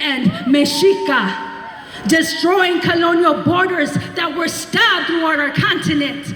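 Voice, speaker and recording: Over noticeable background noise, a woman talks in a passionate tone. Her pitch is extremely high, with ordinary variation. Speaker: poet, historian, activist. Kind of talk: slam poetry performance. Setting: outdoors, live event. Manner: passionate, defiant.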